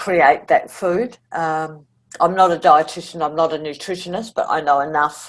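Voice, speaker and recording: With an Australian accent, this woman has a fairly low pitch, fairly even intonation, and a moderate pace. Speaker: cancer survivor, food community founder. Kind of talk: interview conversation. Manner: altered speech after tongue surgery.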